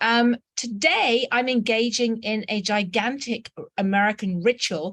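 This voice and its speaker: The speaker has a British accent. The sound is dry and close, with no echo. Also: woman. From England. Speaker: journalist and anthropologist. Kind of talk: invited talk. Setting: video call from a student dorm.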